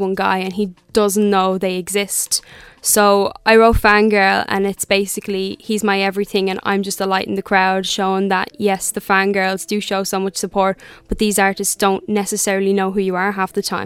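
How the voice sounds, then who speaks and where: Speaking at a moderate pace with hardly any pauses, a woman keeps a medium pitch with monotone, flat intonation. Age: young. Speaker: singer-songwriter. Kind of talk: interview. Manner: confident.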